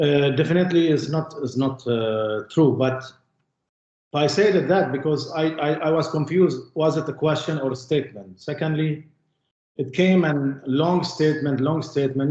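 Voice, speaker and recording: This man has an Arabic accent and a fairly high pitch. He talks at a moderate pace with ordinary pitch variation. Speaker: witness in court. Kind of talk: court testimony. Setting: courtroom. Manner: halting.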